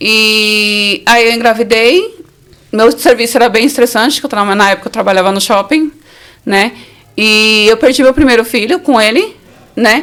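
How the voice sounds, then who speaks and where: A woman's fairly high voice with ordinary pitch variation and long, frequent pauses. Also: moderate pace. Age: 40s. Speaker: survivor of domestic violence. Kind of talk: testimony. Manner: casual, conversational.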